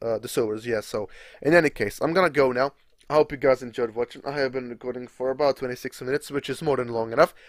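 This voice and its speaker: Very fast and at a medium pitch, a man with a Czech accent speaks with fairly even intonation, his voice dry and close with no echo in a very clean recording with a silent background. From Czech Republic. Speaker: gaming YouTuber. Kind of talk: live gameplay commentary. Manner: relaxed, casual.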